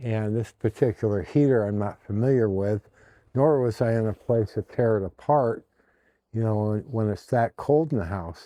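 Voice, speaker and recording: Against a quiet background, a man with a dark, mellow tone and ordinary pitch variation is heard in a dry, close sound with no echo. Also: medium pitch for a man, moderate pace. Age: 60s. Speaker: vlogger. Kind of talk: casual monologue. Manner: halting, many fillers.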